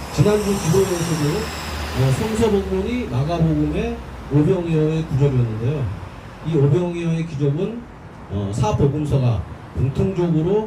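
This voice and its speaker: Lively intonation from a male speaker, with noticeable background noise and audible room echo. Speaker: speaker at a labor prayer rally. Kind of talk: protest rally speech.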